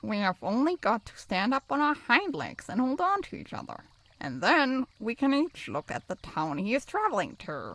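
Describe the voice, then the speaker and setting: A woman uses a put-on character voice at a high pitch, swinging very widely in pitch. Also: moderate pace. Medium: read story.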